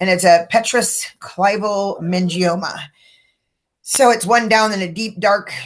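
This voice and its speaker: In a West Coast accent, a woman speaks at medium pitch and a fairly slow pace with fairly even intonation. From California (Livermore). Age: 60s. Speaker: brain tumor patient. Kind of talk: interview. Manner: hesitant, many fillers.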